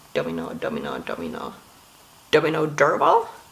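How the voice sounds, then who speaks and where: A woman with a Finnish accent. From Finland. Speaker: video blogger. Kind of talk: casual monologue. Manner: non-native, some pronunciation mistakes.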